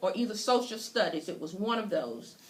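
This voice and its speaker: A woman speaks with a North Carolina accent at a fairly high pitch. Noticeable background noise and audible room echo are present. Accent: North Carolina Southern US. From US South. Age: 60s. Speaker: podcast host. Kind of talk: interview introduction.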